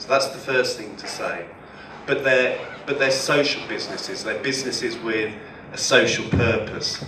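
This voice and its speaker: A man at a moderate pace with big swings in loudness, audible room echo and noticeable background noise. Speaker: professor. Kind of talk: lecture.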